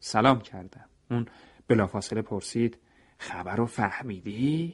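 A man is speaking. The background is quiet. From Iran. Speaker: radio storyteller. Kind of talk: scripted narration. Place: studio.

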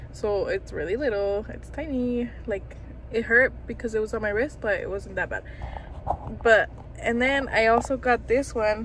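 A woman at a moderate pace, dry with no echo, against noticeable background noise. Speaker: vlogger. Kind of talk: casual vlog chat. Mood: amused, storytelling. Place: car. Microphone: phone near.

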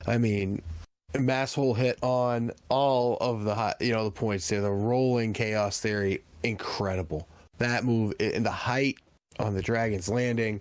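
With fairly even intonation, a man speaks fairly slowly at a fairly low pitch.

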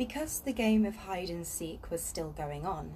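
At a moderate pace, a woman speaks over light background noise. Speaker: reader of a children's book. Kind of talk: reading aloud a story. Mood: calm, relaxed. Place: garden. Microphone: phone near.

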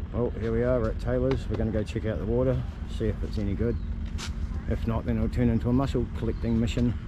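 With very even loudness, a man talks at a very fast pace in a dry sound with no echo, though noticeable background noise is there. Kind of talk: casual vlog chat. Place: beach. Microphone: phone near.

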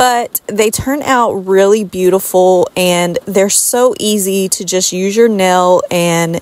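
A woman speaks at a very slow pace with fairly even intonation. The sound is dry with no echo. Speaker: home decor DIY creator. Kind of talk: tutorial voice-over. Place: home room.

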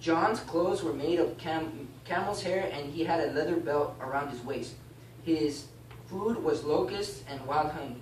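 A man speaks at a fairly slow pace with ordinary pitch variation, his voice carrying audible room echo over light background noise. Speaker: class teacher. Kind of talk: bible class teaching, reading aloud and explaining. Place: classroom. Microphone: camera far.

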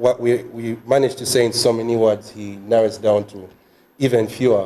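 In an ordinary speaking voice, a man with a medium pitch speaks at a moderate pace with fairly even intonation. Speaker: journalism student; faculty host closing session. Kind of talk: closing prayer. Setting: video call. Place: meeting room. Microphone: podium.

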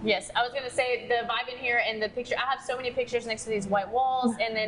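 A woman speaks at a fast pace with a fairly high pitch. Clear background noise runs behind her.

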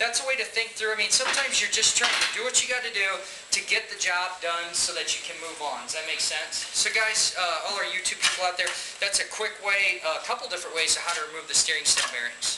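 Over loud background noise, a man talks at a fairly quick pace with hardly any pauses. His pitch varies in an ordinary way. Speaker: instructor. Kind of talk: tutorial. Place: workshop. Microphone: camera far.

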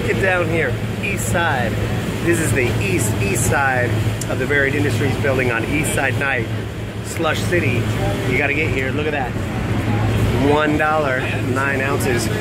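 Amid loud background noise, a man talks at a moderate pace with ordinary pitch variation and long, frequent pauses. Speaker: entertainer vlogger. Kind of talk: casual vlog chat. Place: street. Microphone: phone near.

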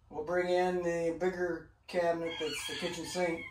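A man speaks at a moderate pace. Audible room echo and light background noise surround him. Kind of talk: casual vlog chat. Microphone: camera far.

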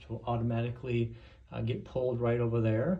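A man's somewhat breathy voice with a dark, mellow tone. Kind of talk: casual vlog chat. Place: studio. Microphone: phone near.

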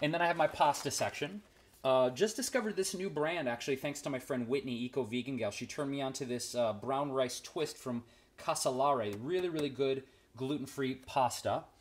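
His pitch moves in an ordinary way. The man keeps a fairly quick pace. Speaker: vegan cooking vlogger. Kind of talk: casual vlog chat, kitchen tour. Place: kitchen. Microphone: phone near.

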